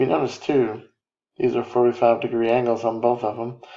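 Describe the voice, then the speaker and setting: A man speaks softly at a medium pitch. His intonation is monotone and flat. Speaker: math teacher. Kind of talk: lecture. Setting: home recording. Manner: soft-spoken; low energy. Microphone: quiet recording.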